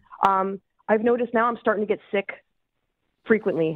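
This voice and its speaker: Music sounds behind the speaker. The words come at a fairly quick clip. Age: 30s. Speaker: caller. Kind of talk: call-in question.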